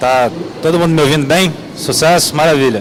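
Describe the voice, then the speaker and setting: A man with a fairly high pitch talks at a fairly quick pace with ordinary pitch variation. Audible room echo and noticeable background noise are present. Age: 30s. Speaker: game producer. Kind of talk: panel discussion. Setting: stage with audience.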